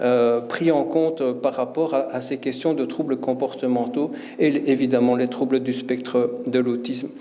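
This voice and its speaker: A man with a Belgian accent at medium pitch and a fairly slow pace, fairly even in intonation, amid audible room echo and noticeable background noise. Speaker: professor and conference speaker. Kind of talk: conference talk. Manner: hesitant, many fillers and repetitions.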